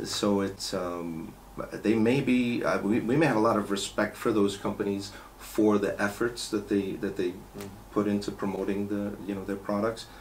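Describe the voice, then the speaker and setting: A man's fairly low voice in a New York accent, moderate pace and fairly even intonation, with light background noise. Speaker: car care company owner. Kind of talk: interview. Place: meeting room.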